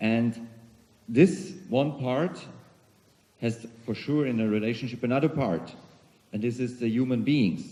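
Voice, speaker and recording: With a German accent, a man speaks in a dark, mellow tone at a fairly slow pace, with ordinary pitch variation and long, frequent pauses. Audible room echo surrounds the voice. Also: medium pitch for a man. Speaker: CEO of a global organization, keynote speaker. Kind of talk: conference keynote speech. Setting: conference hall with audience.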